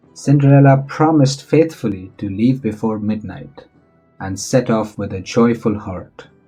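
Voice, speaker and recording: Music plays in the background as a man talks at a very slow pace, his pitch medium and its variation ordinary. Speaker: voice-over narrator. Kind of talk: children's bedtime story narration.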